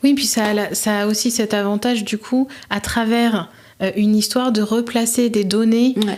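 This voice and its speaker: Fairly high in pitch, a woman speaks with monotone, flat intonation and very even loudness, with noticeable background noise behind her. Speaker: podcast host / interviewer. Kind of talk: interview question.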